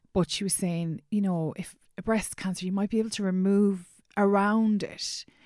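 A woman with an Irish accent, dark and mellow in tone, flat and monotone in intonation, on a very clean recording with a silent background. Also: medium pitch for a woman, moderate pace. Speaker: podcast host. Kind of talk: casual interview about grief.

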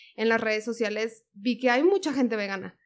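A woman with a fairly high pitch speaks at a moderate pace on a very clean recording with a silent background. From Monterrey, northern Mexico. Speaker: vegan content creator. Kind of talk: casual chat.

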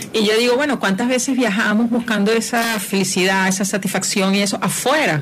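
Delivered at a fairly quick pace with hardly any pauses, the speech keeps a very even loudness and ordinary pitch variation, with audible room echo and noticeable background noise. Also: woman, fairly high pitch for a woman. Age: 40s. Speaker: spiritual mentor. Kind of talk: casual chat.

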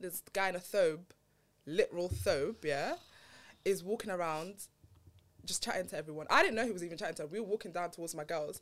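A woman with a fairly low voice talks at a very fast pace. She leaves long, frequent pauses. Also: ordinary pitch variation. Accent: London. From Southeast London. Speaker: podcast guest. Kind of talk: casual chat.

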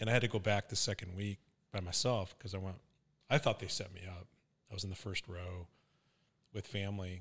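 The speech moves at a fairly quick pace and sounds somewhat breathy. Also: man, very clean recording, silent background. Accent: American. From US West Coast, Venice, California. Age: 60s. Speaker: podcast co-host. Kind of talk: casual chat. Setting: studio.

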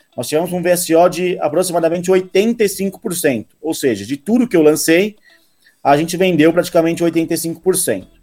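Fairly slow speech with ordinary pitch variation over music in the background. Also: man, high pitch for a man. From interior of São Paulo state, Rio Claro. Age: 20s. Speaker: real estate sales director. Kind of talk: casual interview.

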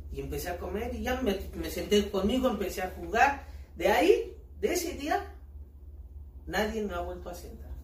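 Talking at a moderate pace with big swings in loudness and long, frequent pauses, a man is heard with audible room echo and noticeable background noise. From Mexico, State of Mexico (Ecatepec). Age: 30s. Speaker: street performer, amputee footballer. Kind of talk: casual interview.

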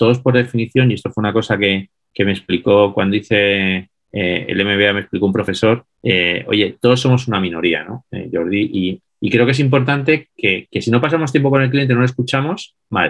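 This man has a normal speaking voice, fairly low in pitch with ordinary pitch variation. He talks at a fairly quick pace with hardly any pauses. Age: 50s. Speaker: business consultant and author. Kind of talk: interview.

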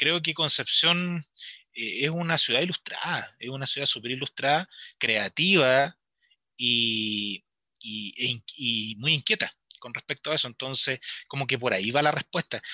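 On a very clean recording with a silent background and a dry, close sound with no echo, a man speaks fairly slowly at medium pitch with ordinary pitch variation and a bright, sharp tone. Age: 40s. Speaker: literature teacher and author. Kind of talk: radio interview.

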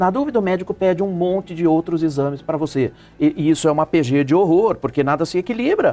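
A man with a high pitch, a very fast pace, very even loudness, and a dark, mellow tone. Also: ordinary pitch variation. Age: 60s. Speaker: professor. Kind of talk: panel discussion.

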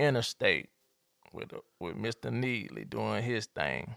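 A man with an Atlanta accent talks at a very slow pace, leaving long, frequent pauses. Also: dry, close sound with no echo. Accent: Southern US (Atlanta). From Atlanta, Georgia. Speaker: podcast host. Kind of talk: casual chat.

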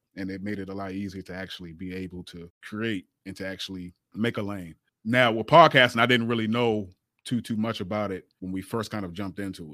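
On a very clean recording with a silent background, a man speaks in an unremarkable speaking voice, fairly low in pitch, with fairly even intonation. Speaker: podcast co-host. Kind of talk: casual chat.

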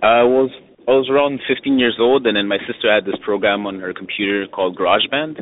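This is a man with a normal speaking voice at medium pitch. He talks at a fairly quick pace with ordinary pitch variation. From Montreal, Canada. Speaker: hip hop rapper and producer. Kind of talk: casual interview.

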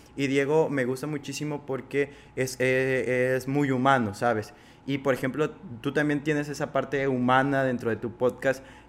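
Speaking at medium pitch, a man delivers his words with monotone, flat intonation. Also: moderate pace. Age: 20s. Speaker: podcast host. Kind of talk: interview.

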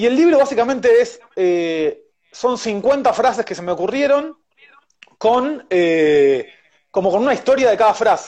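An extremely high male voice with an Argentine accent, an animated tone, very wide pitch swings and a fairly slow pace. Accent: Rioplatense Argentine Spanish. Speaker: chef and baker. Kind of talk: interview.

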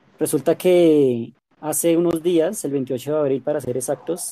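A man with a dark, mellow tone speaks in a fairly high pitch with fairly even intonation. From Colombia. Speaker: podcast host. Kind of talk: interview conversation.

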